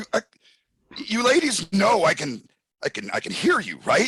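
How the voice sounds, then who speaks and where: A man puts on a high-pitched character voice with very wide pitch swings. He goes at a moderate pace, and the sound is dry and close with no echo. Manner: stammering, flustered, indignant.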